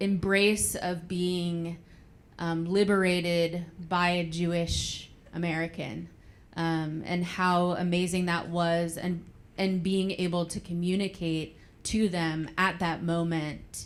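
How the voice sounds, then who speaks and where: The voice moves at a very slow pace with monotone, flat intonation. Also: woman, fairly low pitch for a woman. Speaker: grandchild of Holocaust survivor. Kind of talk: panel discussion. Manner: loud.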